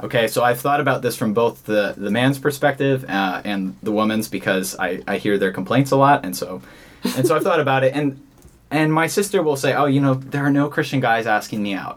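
A man with an ordinary speaking voice talks at a fairly quick pace in a medium pitch. His intonation is lively. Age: 20s. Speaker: investment consultant. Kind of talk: casual chat. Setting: studio.

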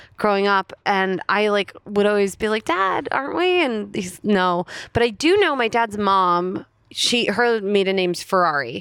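At a fairly slow pace, a woman with an ordinary speaking voice talks in a medium pitch with ordinary pitch variation and very even loudness. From New Jersey, US (Princeton Junction). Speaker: stand-up comedian. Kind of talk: casual chat.

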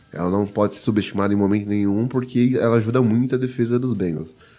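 Dark and mellow, a man's voice at a fairly low pitch runs at a fairly quick pace. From São Paulo, Brazil. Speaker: NFL podcast panelist. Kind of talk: sports analysis chat.

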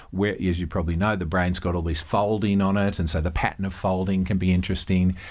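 A man with an Australian accent speaks at a very fast pace in a very deep, low voice, his intonation monotone and flat, with hardly any pauses. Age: 50s. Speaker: psychology professor. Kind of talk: interview. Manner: repeats words, hesitant.

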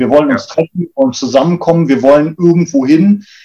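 This man has a fairly high pitch and a dark, mellow tone, and he talks at a fairly quick pace. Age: 40s. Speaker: public transport executive. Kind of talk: interview.

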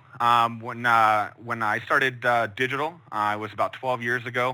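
This man has an American accent. His tone is bright and sharp. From Chicago, US Midwest. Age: 30s. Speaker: digital marketing director. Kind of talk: online training workshop. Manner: many filler words.

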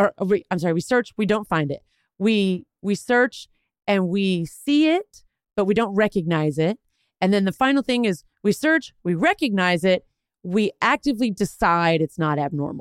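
With an American accent, a woman talks at a moderate pace and medium pitch, her tone animated and intonation lively, on a very clean recording with a silent background and a dry, close sound with no echo. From Texas. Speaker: veterinarian. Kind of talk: casual chat.

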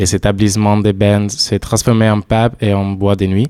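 Flat and monotone, a man speaks in a fairly low pitch with an Italian accent. His pace is fairly slow. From southern Italy. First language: Italian (speaking French). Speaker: European volunteer. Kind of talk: casual radio chat.

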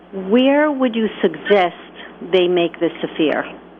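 Here a woman talks. Behind her there is noticeable background noise. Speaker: caller. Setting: phone call.

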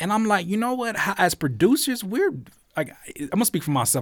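A man's voice swings very widely in pitch in this very clean recording with a silent background. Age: 30s. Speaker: music producer and YouTuber. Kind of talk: casual chat.

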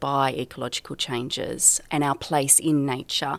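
This woman's voice is very deep and low, with fairly even intonation. Her recording is very clean and the background silent. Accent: Australian. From rural New South Wales, Australia. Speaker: geography professor. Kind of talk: interview.

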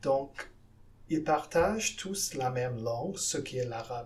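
In a room with audible echo, a man speaks at a very slow pace, his medium pitch showing ordinary variation. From Guyana, South America. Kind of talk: interview. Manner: halting, with repetitions.

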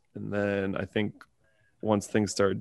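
At a moderate pace, a man with a Canadian accent talks in a fairly low pitch. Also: quiet background. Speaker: podcast host and language teacher. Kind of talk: casual chat. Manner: animated.

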